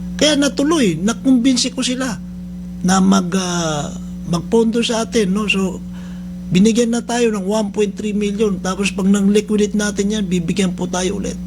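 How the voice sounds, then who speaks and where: Against noticeable background noise, a man speaks loud and high at a moderate pace with ordinary pitch variation. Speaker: radio host and rehab center head. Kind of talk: radio talk show monologue. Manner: loud, high-pitched; halting, many fillers.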